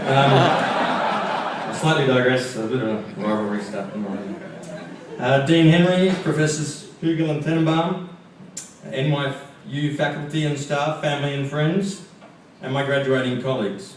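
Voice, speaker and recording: The speaker has an Australian accent and talks at a fairly slow pace with long, frequent pauses and ordinary pitch variation. Audible room echo and noticeable background noise fill the recording. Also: man, fairly high pitch for a man. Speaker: graduating student speaker. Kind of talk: commencement speech.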